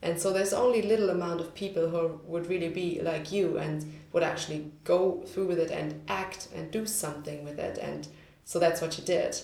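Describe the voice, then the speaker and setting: There is noticeable background noise as a woman with a German accent speaks at a moderate pace. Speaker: podcast host. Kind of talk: casual chat.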